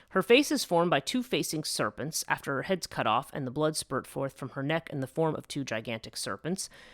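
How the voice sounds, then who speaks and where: The speaker talks at a fairly quick pace with an American accent. The recording is very clean, with a silent background. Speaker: podcast host. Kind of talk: casual lecture. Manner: hesitant, many fillers.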